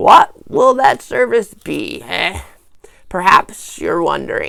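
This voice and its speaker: This is a put-on character voice with a raspy quality. It moves at a very slow pace. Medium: read story. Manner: pompous, slow.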